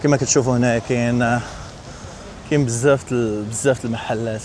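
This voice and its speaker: With a Moroccan accent, a man speaks at medium pitch with fairly even intonation over noticeable background noise. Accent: Moroccan Darija. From Morocco. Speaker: travel vlogger. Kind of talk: casual talk to camera.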